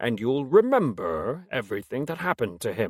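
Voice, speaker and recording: A man in a put-on character voice at medium pitch, on a very clean recording with a silent background. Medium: read story. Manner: weary, measured.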